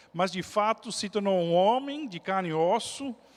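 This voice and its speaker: Speaking fairly slowly with a non-native accent, a man uses a high pitch. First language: not Portuguese (speaking Portuguese). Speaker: pastor. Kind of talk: sermon. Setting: church.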